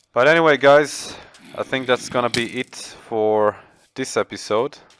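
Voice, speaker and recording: A man with a non-native accent speaks fairly slowly at medium pitch with fairly even intonation, the sound dry and close with no echo. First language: not English. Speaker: gaming youtuber. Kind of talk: gameplay commentary. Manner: halting.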